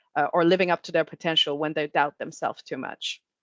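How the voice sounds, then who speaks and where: A normal speaking voice from a woman, fairly low in pitch with fairly even intonation, dry and close with no echo, against a quiet background. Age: 40s. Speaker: marketing executive.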